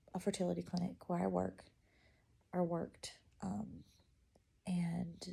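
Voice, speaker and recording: A soft-spoken woman talks at a moderate pace. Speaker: vlogger. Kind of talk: casual chat. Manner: halting.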